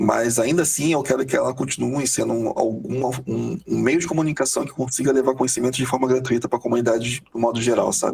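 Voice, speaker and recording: A man at a very fast pace and medium pitch, with noticeable background noise. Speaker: software quality analyst. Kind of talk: podcast interview. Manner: hurried, energetic.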